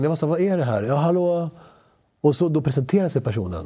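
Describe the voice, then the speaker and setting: Somewhat breathy and dark, mellow in tone, a man speaks with a Spanish accent and lively intonation. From Sweden, Spanish-speaking family. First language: Spanish (speaking Swedish). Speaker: actor. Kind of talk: casual chat. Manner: animated.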